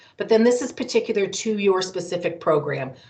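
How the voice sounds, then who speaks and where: A woman's pitch varies in an ordinary way as noticeable background noise plays behind her. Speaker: college recruiter. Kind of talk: presentation. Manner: fast.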